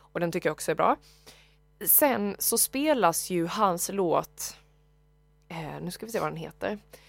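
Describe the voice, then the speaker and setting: A woman with a fairly low pitch talks while music plays in the background. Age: 20s. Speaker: podcast co-host. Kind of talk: casual chat.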